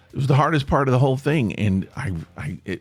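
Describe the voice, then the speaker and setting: Music plays in the background as a man talks at a medium pitch with lively intonation. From Tennessee. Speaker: podcast host, former stage actor and stand-up comic. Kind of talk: casual podcast talk.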